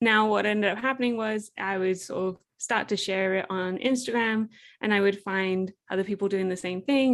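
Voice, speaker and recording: In an English accent, a woman speaks at a moderate pace with a medium pitch and ordinary pitch variation. The recording is very clean, with a silent background. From England. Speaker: entrepreneur, product creator. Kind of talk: interview conversation.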